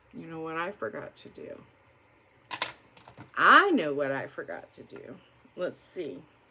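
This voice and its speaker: A woman speaks at a fairly slow pace with long, frequent pauses, and noticeable background noise can be heard. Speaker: beauty vlogger. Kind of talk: casual get-ready-with-me chat.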